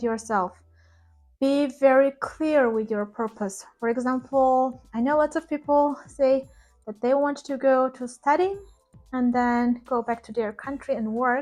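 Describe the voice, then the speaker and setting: A woman's high-pitched voice with a non-native accent, fairly slow pace and ordinary pitch variation, over background music. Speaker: ESL teacher and vlogger. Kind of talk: advice vlog.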